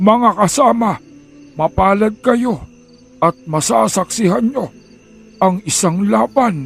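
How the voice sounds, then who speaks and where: A man puts on a shaky character voice, pitched high, with faint music in the background. He goes at a very slow pace, with long, frequent pauses. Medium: read story. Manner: awed, trembling.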